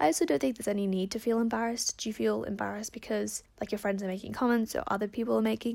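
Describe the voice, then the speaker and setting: A woman speaks at a very fast pace in an animated tone. The recording is very clean, with a silent background. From Perth, Australia. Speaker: podcast host giving advice. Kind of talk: casual solo chat answering listener questions. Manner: fast talker; animated, chatty.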